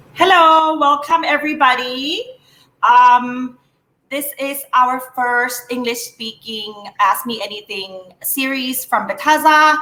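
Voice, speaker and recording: A woman with a Thai accent speaks very slowly in a raised, projected voice, her tone bright and sharp, her pitch high with ordinary variation, and her loudness swinging widely. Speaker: moderator of company livestream. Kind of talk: live Q&A moderation. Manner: hesitant, many fillers.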